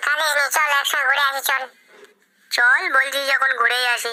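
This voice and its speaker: In a cartoonish character voice, a female-sounding speaker talks high at a moderate pace. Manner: whiny, emotional.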